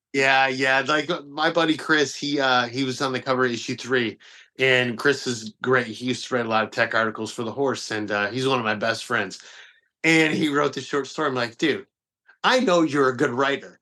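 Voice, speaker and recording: Speaking with an American accent, a man has a bright, sharp tone at medium pitch. His pace is fairly quick and his intonation fairly even. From Detroit, US Midwest. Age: 40s. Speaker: magazine publisher. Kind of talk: podcast interview. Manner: casual, halting with fillers.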